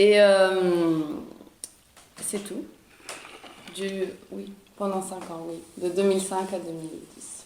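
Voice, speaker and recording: Very slow and flat in a monotone, a woman's medium-pitched voice comes with long, frequent pauses and big swings in loudness, along with audible room echo and noticeable background noise. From Italy, Florence. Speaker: podcast guest. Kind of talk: casual chat. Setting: outdoors. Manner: halting.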